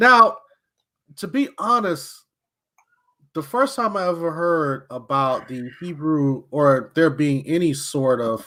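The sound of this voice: A man's fairly high voice, bright and sharp in tone, with lively intonation at a slow pace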